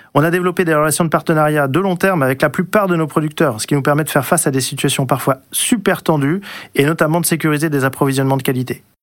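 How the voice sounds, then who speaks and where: Speaking at a very fast pace with very even loudness, a man uses ordinary pitch variation. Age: 40s. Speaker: company operations director. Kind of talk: scripted radio guest talk.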